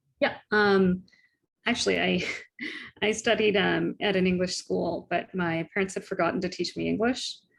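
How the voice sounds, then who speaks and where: Vocal fry runs through a woman's medium-pitched voice as she speaks at a moderate pace. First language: Tamil. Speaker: tax lawyer. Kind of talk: interview conversation.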